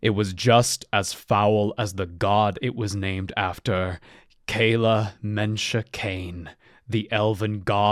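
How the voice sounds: Fairly even intonation marks a natural reading voice.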